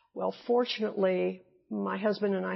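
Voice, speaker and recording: A woman with a Midwestern American accent. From US Midwest. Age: 70s. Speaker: retired nurse and teacher. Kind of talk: oral history interview answer.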